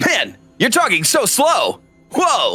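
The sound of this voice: Faint music plays behind a put-on character voice pitched extremely high.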